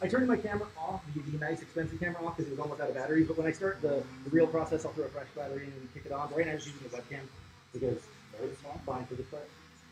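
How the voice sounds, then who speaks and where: The speech goes by at a very fast pace with ordinary pitch variation. Noticeable background noise sits behind it. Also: man, fairly high pitch for a man. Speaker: content creator live streaming. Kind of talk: casual livestream chat. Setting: tattoo shop.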